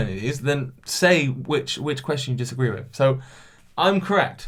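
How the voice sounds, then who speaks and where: Somewhat breathy, a man with a British accent speaks at a moderate pace with lively intonation. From England. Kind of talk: casual podcast talk to camera. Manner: casual, chatty.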